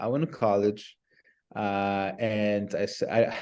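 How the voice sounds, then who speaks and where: A man's fairly low voice with a Spanish accent and fairly even intonation. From Nicaragua. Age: 30s. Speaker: business development professional. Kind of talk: interview. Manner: halting with repetitions.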